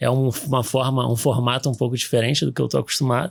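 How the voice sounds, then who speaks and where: A man with a Rio de Janeiro accent on a very clean recording with a silent background. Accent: Rio de Janeiro (carioca). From Rio de Janeiro, Brazil. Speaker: orthopedic surgeon, sports medicine doctor. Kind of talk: podcast interview. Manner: hesitant, many fillers and restarts.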